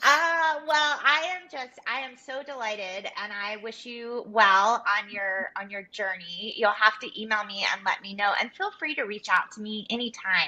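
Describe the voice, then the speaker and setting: Over noticeable background noise, a woman with a fairly high pitch talks at a moderate pace with lively intonation, big swings in loudness and hardly any pauses. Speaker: personal brand and style consultant. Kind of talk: live coaching session on webinar.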